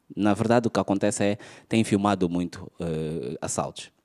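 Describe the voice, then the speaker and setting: One man is speaking, neither hurried nor slow, at a moderate pace. Behind him the background stays quiet. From Angola. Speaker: stand-up comedian. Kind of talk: stand-up comedy. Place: stage. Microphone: handheld.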